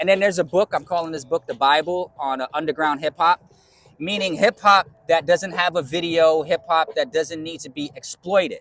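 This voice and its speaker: A man with a New York accent speaks at a fairly quick pace in a high pitch. The sound is dry and close with no echo, and his loudness swings widely. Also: fairly even intonation. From New York (Bronx). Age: 50s. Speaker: DJ. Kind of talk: interview. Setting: community college campus.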